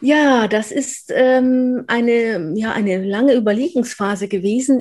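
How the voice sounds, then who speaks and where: A woman's fairly high, somewhat breathy voice. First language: Polish (speaking German). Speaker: professor. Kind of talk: interview. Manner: many fillers and restarts.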